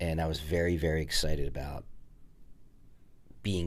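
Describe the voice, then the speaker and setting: A man speaks at a very deep, low pitch and a fairly quick pace in a monotone, flat intonation. Audible room echo is present. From New Jersey. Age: 50s. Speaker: art gallery owner. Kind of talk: interview. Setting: podcast.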